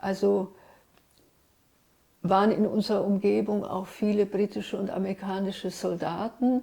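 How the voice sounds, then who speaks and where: A woman is speaking. She talks with a Hungarian accent. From Switzerland, Zurich (early childhood Ljubljana, Trieste). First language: Hungarian (speaking German). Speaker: writer and literary translator. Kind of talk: interview, personal recollection.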